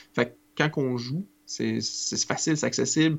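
A man speaks with vocal fry. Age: 30s. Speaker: podcast host. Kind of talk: casual chat.

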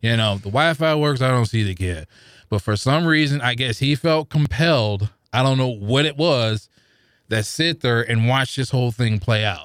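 A man with an American accent has a normal speaking voice of medium pitch, ordinary pitch variation, a moderate pace and very even loudness. The recording is very clean with a silent background and a dry, close sound with no echo. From St. Louis, Missouri. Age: 40s. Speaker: podcast listener. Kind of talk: casual chat. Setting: studio.

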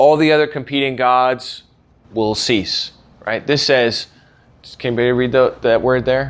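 A man in an American accent, medium in pitch, speaking at a fairly slow pace with fairly even intonation on a very clean recording with a silent background. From US. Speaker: podcast host and Bible teacher. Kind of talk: lecture.

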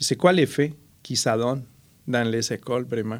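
A man's medium-pitched voice in a Spanish accent, at a very slow pace, in a very clean recording with a silent background. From Colombia. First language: Spanish (speaking French). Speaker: artist and cultural mediator. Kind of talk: interview.

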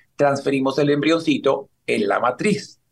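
At a moderate pace, a man with a fairly high pitch talks in a normal speaking voice. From Colombia (Cali). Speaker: fertility doctor. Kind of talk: interview, explaining medical topics.

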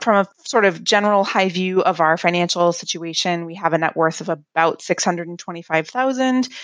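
A woman with an ordinary speaking voice and a fairly low pitch talks at a fairly quick pace with hardly any pauses. Her pitch variation is ordinary, her loudness swings widely, and the background is quiet. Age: 30s. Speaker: listener asking a question. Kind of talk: recorded voicemail question.

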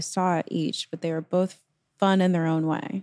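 In a dry, close sound with no echo, a woman with an unremarkable speaking voice talks at a moderate pace and medium pitch. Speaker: politics reporter. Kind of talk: casual chat. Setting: video call.

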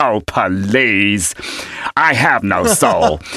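A man puts on a nasal character voice at a fairly low pitch. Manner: sarcastic.

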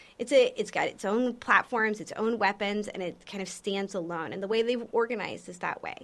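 An unremarkable speaking voice with an American accent, at a moderate pace. The pitch variation is ordinary. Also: woman. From Texas, San Antonio. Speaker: defense researcher, Air Force veteran. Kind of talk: interview. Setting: on a university campus.

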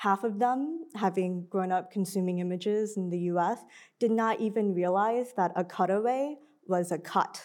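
A woman's normal speaking voice at medium pitch, with ordinary pitch variation and a moderate pace, on a very clean recording with a silent background. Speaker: film curator. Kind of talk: panel discussion. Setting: stage with audience.

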